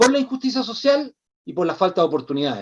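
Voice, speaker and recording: The speaker has a Chilean accent. The pace is fairly quick. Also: man. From Chile, Santiago. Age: 60s. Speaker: social activist. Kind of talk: interview conversation.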